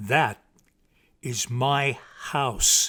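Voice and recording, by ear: In a put-on character voice, a man speaks very slowly at a medium pitch, his bright, sharp tone carrying a slightly husky edge and ordinary pitch variation on a very clean recording with a silent background.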